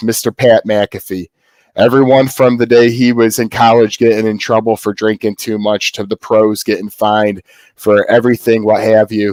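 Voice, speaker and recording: Monotone, flat delivery in a very clean recording with a silent background, dry and close without echo. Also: man, medium pitch for a man. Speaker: podcast host. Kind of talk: casual chat. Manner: fast.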